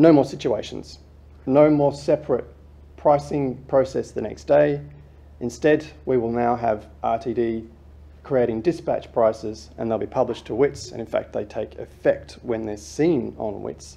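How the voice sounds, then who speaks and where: With vocal fry and very wide pitch swings, a man speaks at a fairly slow pace. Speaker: presenter. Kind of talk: presentation talk. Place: hall. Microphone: lapel.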